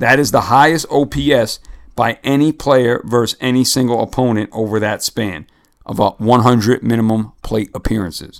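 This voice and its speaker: A man speaks in an ordinary speaking voice with an American accent. His pace is moderate and his pitch variation ordinary. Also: medium pitch for a man. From New York or New Jersey area. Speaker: podcast host. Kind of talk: casual sports chat.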